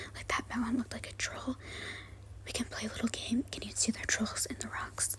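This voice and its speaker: A woman whispering in an American accent, gentle in tone and at a fairly quick pace, over noticeable background noise. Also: big swings in loudness. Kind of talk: ASMR soft-spoken travel vlog voice-over. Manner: soft-spoken, gentle.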